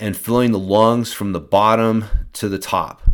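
A man speaks in an unremarkable speaking voice with a fairly low pitch and fairly even intonation. His pace is moderate, and the recording is very clean with a silent background. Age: 40s. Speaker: mountain bike fitness coach and podcast host. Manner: relaxed, conversational instruction with frequent 'um', 'uh' and 'right?' fillers; calm, reassuring, gently paced coaching tone.

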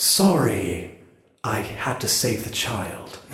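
A put-on character voice from a man, medium-pitched, calm and very slow, with clear echo. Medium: actual play. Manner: centered and calm.

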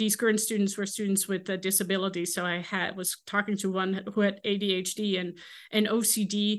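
A woman with a Dutch accent speaks at a moderate pace in a medium pitch against a quiet background. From Netherlands. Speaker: ethics professor. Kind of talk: interview. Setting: video call. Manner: halting, many fillers.

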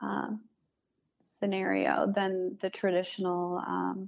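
A woman with a Michigan accent speaks at a fairly low pitch. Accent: Michigan (Inland North) American. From Metro Detroit, Michigan. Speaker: architect. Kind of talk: interview.

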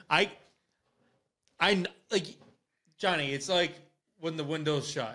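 Man with an Upper Midwest accent and a bright, sharp tone, fairly high in pitch with ordinary pitch variation, fairly slow, with long, frequent pauses. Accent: Upper Midwest American. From Wisconsin. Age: 20s. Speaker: podcast host. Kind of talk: casual chat. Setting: live stream.

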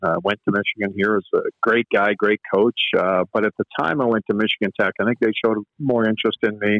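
This man has a Canadian Prairies accent. He talks at a fairly quick pace with ordinary pitch variation. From Canada, Manitoba. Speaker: college hockey coach. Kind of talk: casual interview. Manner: frequent filler words and repetitions.

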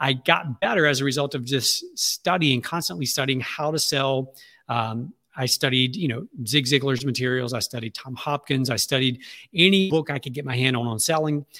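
A man with a Southern US accent speaks at a moderate pace in a bright, sharp tone. The sound is dry and close, with no echo. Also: medium pitch for a man, ordinary pitch variation. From Louisiana, Alexandria. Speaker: marketing agency CEO. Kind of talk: interview. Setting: remote interview from his office.

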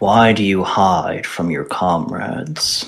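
A rumbling, put-on character voice from a man, very deep and low, at a fairly slow pace

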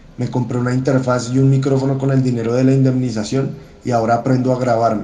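In a room with audible echo, a man talks at a fairly quick pace in a monotone, flat intonation. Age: 30s. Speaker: historian and songwriter. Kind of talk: personal essay read aloud.

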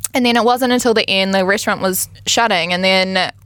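With a New Zealand accent, a woman speaks at a fairly high pitch. Her tone is bright and sharp. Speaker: reality TV star. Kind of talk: casual chat.

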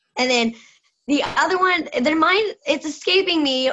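This woman speaks with an American accent. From US South. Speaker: wrestling fan. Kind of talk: casual group chat. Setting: video call.

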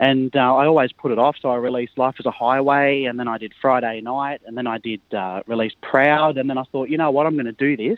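Talking at a fairly quick pace with hardly any pauses, a man in an Australian accent keeps his intonation fairly even. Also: medium pitch for a man. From rural New South Wales, Australia. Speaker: country singer-songwriter. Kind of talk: radio interview.

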